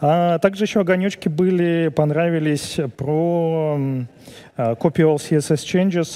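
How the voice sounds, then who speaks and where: Using a dark, mellow tone with ordinary pitch variation, a man speaks at a very slow pace. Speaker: event host moderating Q&A. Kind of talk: casual banter and Q&A moderation. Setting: stage with audience. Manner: joking, playful. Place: studio. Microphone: headset.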